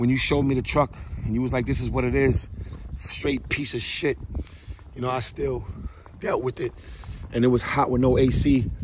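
Against noticeable background noise, a man speaks at a moderate pace with long, frequent pauses. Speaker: truck driver and vlogger. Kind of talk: casual vlog monologue. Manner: halting, repeats words.

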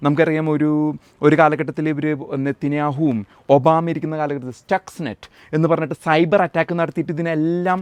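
A man speaks in a fairly high voice, recorded with a dry, close sound and no echo. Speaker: YouTube commentator, US Army veteran. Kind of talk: political news commentary monologue. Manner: animated.

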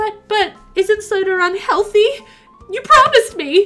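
Faint music plays behind a put-on character voice that moves at a fairly slow pace, with a fairly bright tone and lively intonation. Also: woman, extremely high pitch for a woman.

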